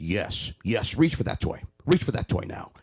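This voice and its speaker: In a put-on character voice, a man speaks with a stern tone at a medium pitch. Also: moderate pace. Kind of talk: encouraging words in a harsh tone. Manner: stern, scolding, harsh.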